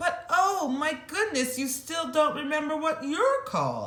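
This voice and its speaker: Squeaky and extremely high-pitched, a female-sounding put-on character voice moves at a fairly slow pace. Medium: read story.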